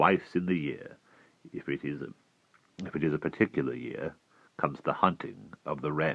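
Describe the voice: Putting on a character voice, a man speaks with vocal fry at an extremely low pitch and ordinary pitch variation. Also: moderate pace.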